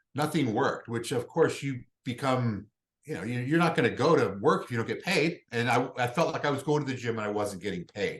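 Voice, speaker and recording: A man speaks at a fairly quick pace and medium pitch. His voice is somewhat breathy, with lively intonation. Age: 50s. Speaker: hormone therapy clinic representative. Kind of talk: casual interview chat.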